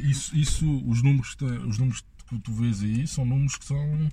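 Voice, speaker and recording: Somewhat breathy and dark, mellow in tone, a man's medium-pitched voice moves at a fairly slow pace. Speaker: podcast guest. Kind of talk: casual chat.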